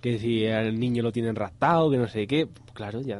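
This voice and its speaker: At a fairly quick pace, an unremarkable speaking voice carries ordinary pitch variation. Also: man. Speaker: radio film show host. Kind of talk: casual radio chat.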